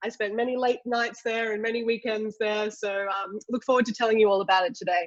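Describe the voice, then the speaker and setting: A woman with an Australian accent speaks at a fairly quick pace with hardly any pauses. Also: fairly high pitch for a woman, fairly even intonation. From Australia, Sydney. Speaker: ceramic engineer, industry executive. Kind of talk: webinar presentation. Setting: online webinar.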